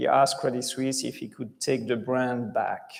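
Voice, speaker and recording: A man with a French accent, with audible room echo. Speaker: bank chief executive. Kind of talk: conference interview.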